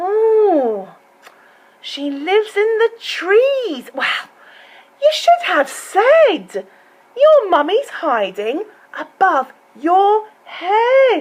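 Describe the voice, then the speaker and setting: A woman's squeaky, put-on character voice, extremely high and very slow, with very wide pitch swings and long, frequent pauses. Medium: read story. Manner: eager, self-assured.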